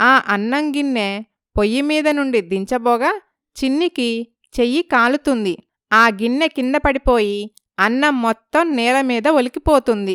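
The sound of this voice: On a very clean recording with a silent background and a dry, close sound with no echo, a woman speaks at a fairly slow pace in a clear, smooth, fairly bright tone, with fairly high pitch and ordinary pitch variation.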